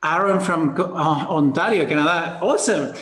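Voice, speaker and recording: A man's fairly high voice with fairly even intonation and audible room echo. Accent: Spanish. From Spain. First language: Spanish. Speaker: business coach. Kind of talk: webinar presentation. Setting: video call. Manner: casual, hesitant.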